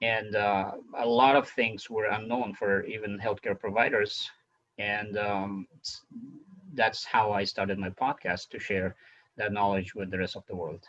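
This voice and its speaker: A man's fairly low-pitched voice with a non-native accent, at a fairly slow pace and in a monotone, flat intonation. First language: not English. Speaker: physician and podcast host. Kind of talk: interview. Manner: halting, many fillers.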